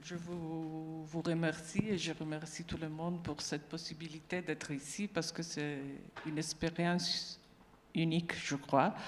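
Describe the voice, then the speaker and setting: Her fairly low voice moves at a fairly slow pace, flat and monotone throughout. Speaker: neuropsychiatrist, panel speaker. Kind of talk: panel discussion remarks. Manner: somewhat halting.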